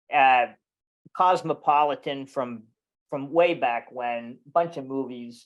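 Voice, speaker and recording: At a very slow pace, a man with a fairly high pitch talks with fairly even intonation. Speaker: yacht charter captain presenting a webinar. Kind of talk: webinar presentation. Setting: video webinar. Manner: casual with many fillers and repetitions.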